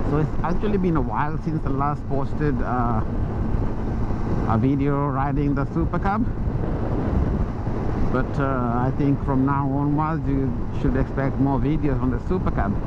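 Loud background noise, a moderate pace, long and frequent pauses, and a dry sound with no echo. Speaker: motovlogger rider. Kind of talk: casual vlog chat. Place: motorbike. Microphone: helmet.

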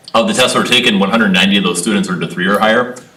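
Noticeable background noise and audible room echo surround the recording. A man talks at a very fast pace. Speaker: school administrator presenting to school board. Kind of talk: presentation at school board meeting. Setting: board meeting conference room.

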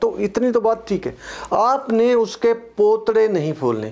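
A man speaking at a fairly slow pace. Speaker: real estate trainer. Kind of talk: lecture. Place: classroom. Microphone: lapel.

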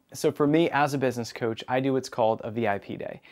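A man at a moderate pace with ordinary pitch variation against a quiet background. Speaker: business coach show host. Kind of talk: presenter monologue to camera. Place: studio. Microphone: lapel.

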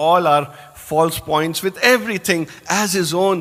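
Here is a man with an ordinary speaking voice, fairly high in pitch. His intonation is lively. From India, Indore. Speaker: lecturer and spiritual speaker. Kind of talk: speech to an audience. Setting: hall with audience.

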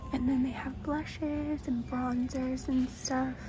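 Over noticeable background noise, a woman is soft-spoken. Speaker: ASMR vlogger. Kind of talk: ASMR store walkthrough. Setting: inside a store. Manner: relaxed, casual. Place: shop.

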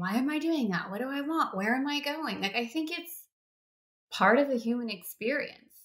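Her tone is bright and sharp, and the woman's intonation is lively. She speaks at a moderate pace against a quiet background. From US. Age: 40s. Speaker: podcast host. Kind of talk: interview; podcast intro. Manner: animated. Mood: warm, encouraging. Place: home room. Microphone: webcam.

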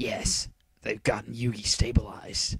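A man whispers in a put-on character voice at a fairly slow pace, with vocal fry and a husky, rough edge.

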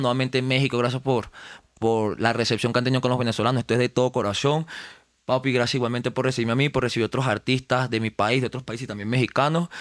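A man talks at a very fast pace in a monotone, flat intonation. The sound is dry with no echo against a quiet background. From Venezuela, Los Teques; Venezuela. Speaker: rapper; guest. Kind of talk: casual interview. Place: studio. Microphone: studio mic.

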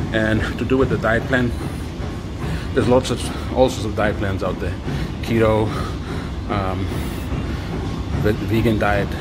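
Over music in the background, a man talks at a fairly slow pace with ordinary pitch variation and long, frequent pauses. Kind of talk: casual vlog chat. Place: gym. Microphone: phone near.

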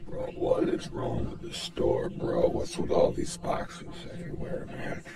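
Loud background noise sits behind speech at a fairly slow pace. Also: man. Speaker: comedic shopper vlogger. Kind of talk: casual vlog chat. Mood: mock outraged complaining. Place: shop. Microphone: phone near.

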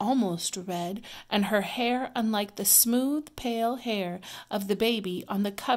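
A text is read out in an unaffected voice. Its pitch moves in a typical way.

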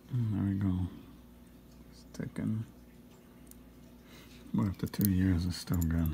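A man with a very deep, low voice and a dark, mellow, soothing tone speaks somewhat breathily, his intonation lively and his loudness swinging widely between long, frequent pauses. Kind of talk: ASMR watch repair talk to camera. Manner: soothing, relaxing.

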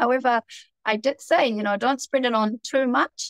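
At a moderate pace, a woman with a New Zealand accent speaks with ordinary pitch variation, the sound dry with no echo and the background quiet. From New Zealand, Auckland. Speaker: TV personality; interview guest. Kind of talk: casual chat. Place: home room. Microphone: video call.

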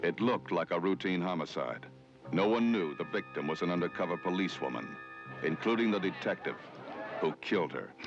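With music in the background, the speech moves at a fairly quick pace with lively intonation. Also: man, very deep, low pitch for a man. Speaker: trailer narrator. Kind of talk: movie trailer.

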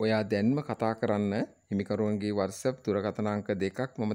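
A dark, mellow tone at a fairly slow pace, with fairly even intonation. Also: man. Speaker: real estate video presenter. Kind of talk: sales pitch. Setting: on location at the property.

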